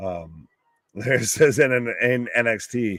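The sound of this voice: A man with a gravelly, fairly bright voice at medium pitch speaks at a fairly slow pace with lively intonation.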